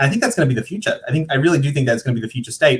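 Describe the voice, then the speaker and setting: A somewhat breathy male voice. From New Zealand. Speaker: digital marketing panelist. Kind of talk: panel discussion. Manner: fast; repetitive false starts.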